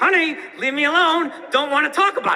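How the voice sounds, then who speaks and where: A man does a put-on character voice at an extremely high pitch. He goes at a fairly quick pace over light background noise. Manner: talking through clenched teeth; annoyed, brushing someone off.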